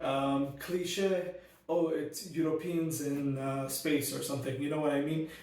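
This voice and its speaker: Amid audible room echo and noticeable background noise, a man speaks at a fairly slow pace with a fairly high pitch. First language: not Arabic; Arabic learned second in school. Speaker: book reviewer. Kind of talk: casual book review monologue. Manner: animated, frequent fillers and restarts.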